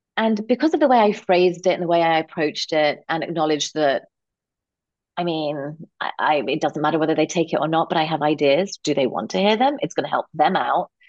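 Talking at a fairly quick pace in a London accent, a woman with a fairly low voice shows ordinary pitch variation. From London, England. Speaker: executive coach and entrepreneur. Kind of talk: interview.

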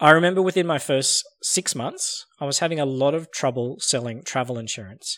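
A man speaks in a plain, everyday voice at a fairly high pitch, with ordinary pitch variation and hardly any pauses, on a very clean recording with a silent background. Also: fairly quick pace. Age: 40s. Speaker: sales podcast host. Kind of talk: scripted narration.

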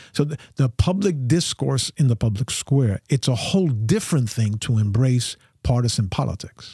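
At a moderate pace and with hardly any pauses, a man talks at a medium pitch. His tone is dark, mellow and somewhat breathy, with lively intonation. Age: 60s. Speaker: pastor and theologian. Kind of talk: casual chat.

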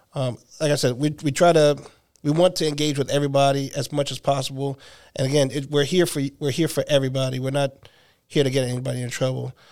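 A man talks very fast in a fairly high voice with an American accent. His intonation is flat and monotone. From New Jersey. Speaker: campus security supervisor, army veteran. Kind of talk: interview.

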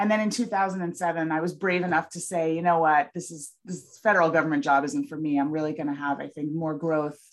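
A woman with a General American accent, in a plain, everyday voice, at a fairly quick pace with ordinary pitch variation. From United States. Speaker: content marketing agency owner. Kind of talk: interview.

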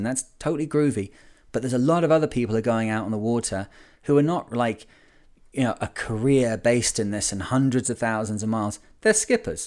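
On a very clean recording with a silent background, a man with a northern English accent speaks at medium pitch and a fairly quick pace, with ordinary pitch variation. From Lancashire, England. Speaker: sailing podcast host. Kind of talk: casual podcast monologue.

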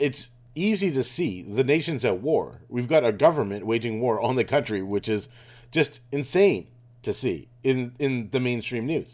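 This is a man with a plain, everyday voice. His intonation is lively. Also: medium pitch for a man. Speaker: podcast host. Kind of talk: angry conspiracy rant, fast-paced tirade accusing government of lies and arson. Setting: informal solo recording while travelling. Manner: sure of itself, sarcastic, scornful tone toward Trudeau and globalists.

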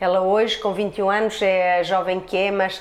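An animated tone over noticeable background noise. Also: woman. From Portugal, Trás-os-Montes. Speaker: hairdresser. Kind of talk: interview.

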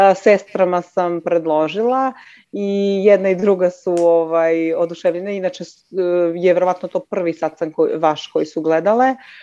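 Her tone dark and mellow, a woman speaks at a moderate pace with a fairly low pitch and ordinary pitch variation. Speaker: caller. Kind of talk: call-in conversation.

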